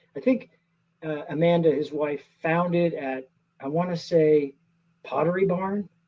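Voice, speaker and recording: A man with an American accent talks in a high pitch at a fairly slow pace. He leaves long, frequent pauses. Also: ordinary pitch variation. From US Pacific Northwest (Seattle). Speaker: actor. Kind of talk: interview.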